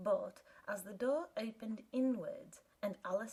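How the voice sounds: The reading here is done in a natural voice.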